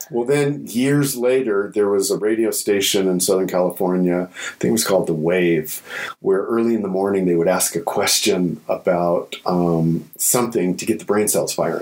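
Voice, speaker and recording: This man has an unremarkable speaking voice with a fairly low pitch, ordinary pitch variation and a moderate pace. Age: 60s. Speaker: corporate consultant and public speaker. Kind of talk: casual interview conversation.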